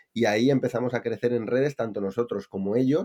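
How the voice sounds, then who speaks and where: A man speaks at a moderate pace with ordinary pitch variation and a dark, mellow tone. The background is quiet. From Spain, Palencia (Castile and León). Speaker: e-commerce entrepreneur. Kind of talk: casual interview.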